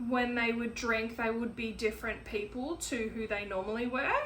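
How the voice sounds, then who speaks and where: A woman's high, monotone and flat voice with audible room echo. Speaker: podcaster. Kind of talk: personal monologue. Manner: slow; halting.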